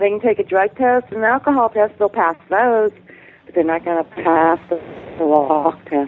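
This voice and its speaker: A woman with a plain, everyday voice speaks at a moderate pace and a medium pitch. Her intonation is lively, with big swings in loudness. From Arizona. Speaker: caller. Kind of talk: casual chat. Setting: Skype call.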